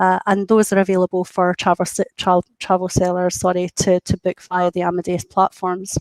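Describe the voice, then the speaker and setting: With a Scottish accent, a woman speaks at a very even loudness. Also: medium pitch for a woman, dry, close sound with no echo. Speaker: industry interviewee speaking for a travel technology company. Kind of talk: business, professional. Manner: fast talker, animated; frequent hesitations and repeated words.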